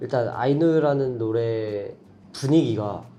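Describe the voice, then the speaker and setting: A man speaks amid audible room echo. Music plays in the background. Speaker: K-pop idol singer. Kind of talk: casual chat.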